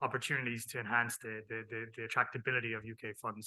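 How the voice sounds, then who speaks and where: In an Irish accent, a man speaks. His pitch sits at a medium level. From Ireland. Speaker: tax team head. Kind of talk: panel discussion.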